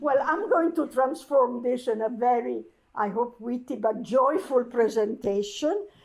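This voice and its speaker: Speaking at a fairly slow pace, a woman with an Italian accent uses a high pitch and lively intonation. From Italy. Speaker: architecture curator. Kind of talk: talk to an audience. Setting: archive event with audience. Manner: halting.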